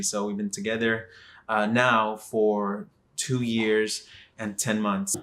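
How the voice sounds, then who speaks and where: A man talks with a Texan accent. His pitch varies in an ordinary way. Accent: Texan American English. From Texas, Dallas. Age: 20s. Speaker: vlogger. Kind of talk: casual vlog monologue. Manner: hesitant, many fillers.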